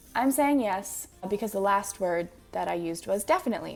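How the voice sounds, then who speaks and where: With music in the background, a woman of medium pitch speaks at a moderate pace with ordinary pitch variation. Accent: Manitoba. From Manitoba, Canada. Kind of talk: casual talk to camera.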